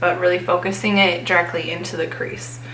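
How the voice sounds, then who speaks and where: Through audible room echo and noticeable background noise, a woman talks at a fairly slow pace. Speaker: beauty vlogger. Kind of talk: tutorial. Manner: casual.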